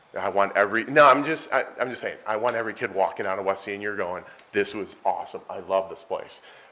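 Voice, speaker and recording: Animated and fairly quick, a man with a fairly low pitch speaks with ordinary pitch variation and big swings in loudness. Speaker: high school administrator. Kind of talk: presentation. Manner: humorous, animated. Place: meeting room. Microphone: podium.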